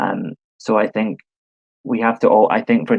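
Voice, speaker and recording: A man talks at a moderate pace in a Scottish accent. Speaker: panelist on diplomacy. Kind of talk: online panel discussion. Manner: halting, many fillers.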